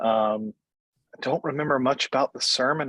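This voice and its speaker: In an Appalachian accent, a man speaks at a medium pitch, the sound dry and close with no echo. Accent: Appalachian Southern US. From US South, Appalachian North Carolina (Wilkes County). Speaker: Episcopal priest. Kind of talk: oral history interview. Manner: halting, many fillers.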